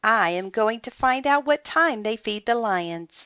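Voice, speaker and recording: In a put-on character voice that sounds female, the speaker talks fairly slowly at a fairly high pitch. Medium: read story.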